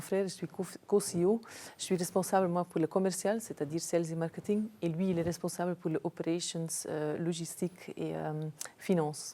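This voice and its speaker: A woman with a slight Flemish accent speaks in a fairly low pitch, with a dark, mellow tone and fairly even intonation. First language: Dutch (speaking French). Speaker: business executive. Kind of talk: interview. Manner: hesitant, many fillers.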